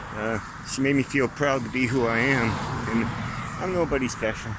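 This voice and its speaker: Amid noticeable background noise and audible room echo, a man talks at medium pitch. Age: 60s. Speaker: vlogger. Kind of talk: casual monologue vlog. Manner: rambling, conversational.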